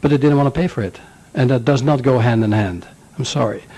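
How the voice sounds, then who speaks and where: In a Dutch accent, a man talks at a medium pitch with a dark, mellow tone and ordinary pitch variation. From Netherlands. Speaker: business owner, chamber of commerce chairman. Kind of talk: public comment at hearing. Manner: informal, joking.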